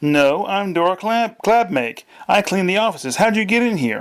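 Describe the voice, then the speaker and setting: A put-on character voice delivers lively intonation at a moderate pace. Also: man, high pitch for a man. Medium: read story. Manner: blunt, suspicious.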